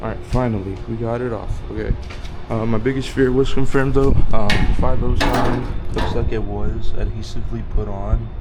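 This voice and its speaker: A man's speech carries audible room echo and noticeable background noise. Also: moderate pace. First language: not English. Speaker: car DIY video maker. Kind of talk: tutorial. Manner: hesitant, many fillers.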